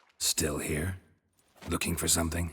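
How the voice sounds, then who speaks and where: In a put-on character voice, a man speaks raspy and very deep, with a low pitch. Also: moderate pace. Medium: video game. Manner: deadpan, laconic.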